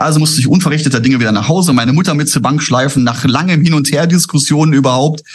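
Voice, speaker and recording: A man speaks very fast with a fairly high pitch. His voice is somewhat breathy. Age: 50s. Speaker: trader, former broker. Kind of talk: interview.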